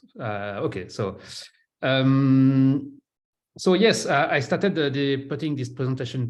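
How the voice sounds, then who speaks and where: A man with a French accent talks at a fairly slow pace in a medium pitch, with audible echo in the room. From France. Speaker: solutions architect, conference speaker. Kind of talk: technical presentation. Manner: halting, many fillers.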